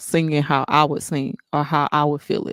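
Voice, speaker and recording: At a fairly slow pace, a woman with a very deep, low pitch speaks in a dry, close sound with no echo, on a very clean recording with a silent background. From Texas, Houston. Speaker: singer. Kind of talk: interview.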